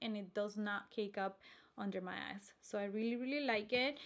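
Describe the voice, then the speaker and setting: Fairly high in pitch, a woman speaks with a Spanish accent. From Colombia. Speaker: beauty vlogger and makeup artist. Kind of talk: casual product review vlog.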